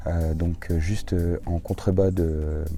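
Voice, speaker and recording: A man is speaking. His pitch is very deep and low. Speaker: travel vlogger. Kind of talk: casual vlog narration. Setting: outdoors in a garden. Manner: hesitant, many fillers.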